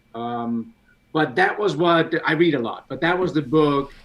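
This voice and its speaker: With a Danish accent, a man talks at a moderate pace in a fairly high pitch with ordinary pitch variation. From Denmark. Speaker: CAD software expert. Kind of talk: casual chat. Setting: live stream video call.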